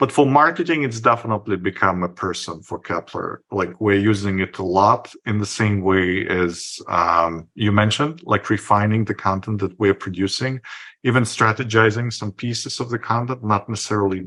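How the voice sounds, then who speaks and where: Over a quiet background, a man with a non-native accent speaks at a fairly low pitch in a bright, sharp tone. His pace is moderate, with ordinary pitch variation and hardly any pauses. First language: not English. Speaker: podcast host, marketer. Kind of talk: casual interview.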